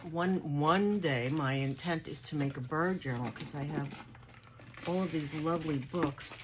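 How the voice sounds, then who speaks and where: With a Long Island accent, a woman speaks at a fairly slow pace in a very deep, low pitch against noticeable background noise. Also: ordinary pitch variation. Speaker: crafting vlogger. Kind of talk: haul video show-and-tell. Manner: animated.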